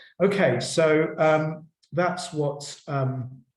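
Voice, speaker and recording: A man with a fairly high pitch and fairly even intonation is heard with audible room echo. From Poland. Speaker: professor. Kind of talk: lecture. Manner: halting, many repetitions.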